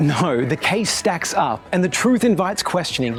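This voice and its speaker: A man's high-pitched voice comes through with music playing behind it. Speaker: spoken word poet. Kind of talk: spoken word poetry performance.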